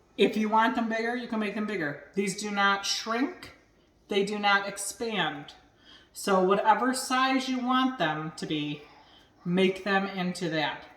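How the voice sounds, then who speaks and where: Over noticeable background noise, a woman at a medium pitch talks at a fairly slow pace with ordinary pitch variation. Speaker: home cooking and cocktail video host. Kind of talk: casual cooking tutorial. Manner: loud.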